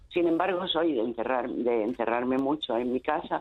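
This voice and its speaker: A woman is speaking. Her intonation is lively. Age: 70s. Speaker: caller. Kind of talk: radio call-in, personal testimony. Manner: halting.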